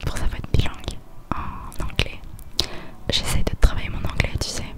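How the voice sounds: A woman whispering at a moderate pace.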